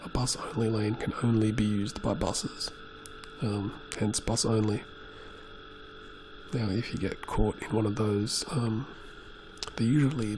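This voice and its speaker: Soft-spoken and fairly low in pitch, a man talks with fairly even intonation and long, frequent pauses. Noticeable background noise can be heard. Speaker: motorcyclist. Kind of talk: casual talk while riding.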